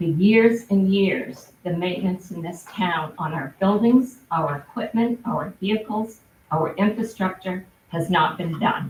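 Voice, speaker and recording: A woman speaks at a fairly slow pace with a medium pitch, somewhat breathy, and ordinary pitch variation. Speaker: town select board member. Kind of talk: public meeting statement. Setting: town board meeting.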